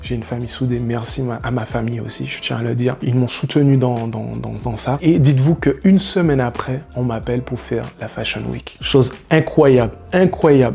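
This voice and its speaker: Over music in the background, a man of medium pitch speaks with ordinary pitch variation. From French Antilles. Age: 30s. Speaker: hairstylist. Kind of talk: vlog monologue.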